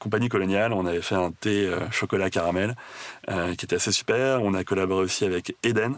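Speaking at a fairly quick pace, a man keeps a fairly low pitch with ordinary pitch variation. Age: 30s. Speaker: chocolate entrepreneur. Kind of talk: interview. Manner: hesitant, many fillers.

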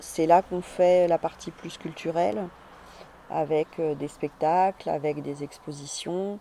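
Dark and mellow in tone, a woman's voice has a very deep, low pitch. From Paris suburbs, France. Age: 40s. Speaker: cultural venue founder, former engineer. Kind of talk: personal testimony interview. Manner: hesitant, many fillers.

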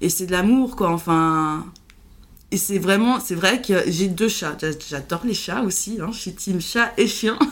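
A woman at a very slow pace, with ordinary pitch variation and audible room echo. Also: medium pitch for a woman. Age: 30s. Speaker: podcast guest sharing mental illness experience. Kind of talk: casual chat. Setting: at her home. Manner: halting.

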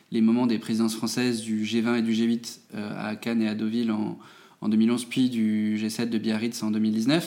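A man's medium-pitched voice, fairly slow, in a monotone, flat intonation. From France, Moselle (Metz). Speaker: think tank director. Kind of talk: interview. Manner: hesitant, many fillers.

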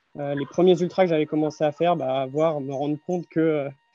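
A man's fairly high, fairly evenly intoned voice at a fairly quick pace, dry and close with no echo, over background music. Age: 30s. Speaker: mental coach and runner. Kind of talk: casual interview.

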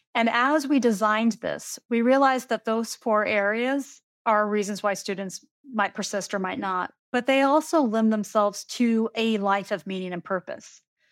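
At a moderate pace and a fairly high pitch, a woman with ordinary pitch variation and an unremarkable speaking voice is heard in a very clean recording with a silent background. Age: 40s. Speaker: university administrator. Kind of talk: interview.

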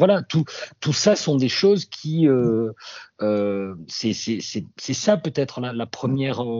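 Speaking at a fairly slow pace with a slight southwestern French accent, the voice swings very widely in pitch. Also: man. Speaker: radio journalist. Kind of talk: interview testimony. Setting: remote link.

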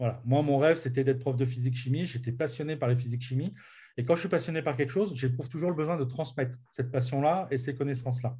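Speaking at a very fast pace, a man has a medium-pitched, somewhat breathy voice. His tone is dark and mellow, and his intonation fairly even. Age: 40s. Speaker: business coach. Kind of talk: interview. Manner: halting.

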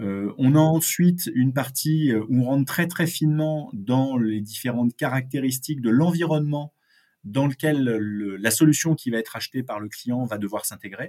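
At a moderate pace, a man speaks in a dark, mellow tone at medium pitch, with ordinary pitch variation. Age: 50s. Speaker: sales consultant. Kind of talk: interview. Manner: halting, many repeated words.

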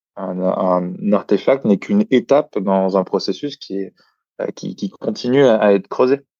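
A man's fairly low voice moves at a moderate pace, with ordinary pitch variation, and the background is quiet. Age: 30s. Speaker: creativity consultant and author. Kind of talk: interview. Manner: hesitant with many fillers.

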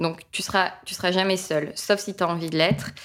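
The speaker delivers the words at a moderate pace in a monotone, flat intonation. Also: woman. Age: 30s. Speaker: business trainer and author. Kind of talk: casual interview.

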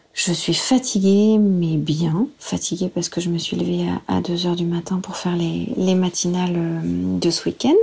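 A woman talks at a fairly slow pace with hardly any pauses. Noticeable background noise runs behind her. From France, Senlis (Oise). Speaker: TV news presenter. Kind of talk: interview.

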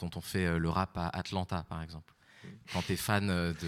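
Against a silent background in a very clean recording, a man speaks at a fairly slow pace with a very deep, low pitch. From Paris. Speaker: audience member. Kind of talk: audience question. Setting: stage with audience.

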